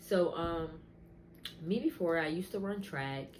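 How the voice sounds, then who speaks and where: In a room with audible echo, a woman speaks somewhat breathily at a moderate pace with ordinary pitch variation. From US Northeast, southern New Jersey. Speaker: wig business owner and content creator. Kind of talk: testimony. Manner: casual, filler-heavy.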